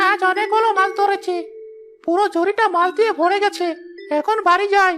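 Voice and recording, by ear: A cartoonish character voice with an extremely high pitch talks at a moderate pace.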